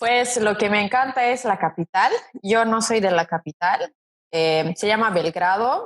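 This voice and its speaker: A woman with a Serbian accent speaks at a fairly slow pace in a fairly high pitch, with ordinary pitch variation, very even loudness and a dry, close sound with no echo. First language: Serbian (speaking Spanish). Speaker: model, interview guest. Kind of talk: casual interview chat.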